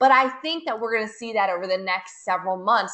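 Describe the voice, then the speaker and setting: Talking at a fairly quick pace, a woman with an American accent uses an ordinary speaking voice, fairly high in pitch with ordinary pitch variation. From United States. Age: 30s. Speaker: network marketing leader. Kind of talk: webinar sales presentation. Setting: webinar.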